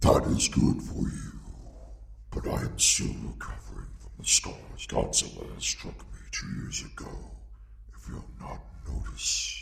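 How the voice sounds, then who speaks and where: A man puts on a character voice at a moderate pace. Clear background noise runs underneath. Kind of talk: villain voice reel. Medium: voice reel. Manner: haughty, condescending.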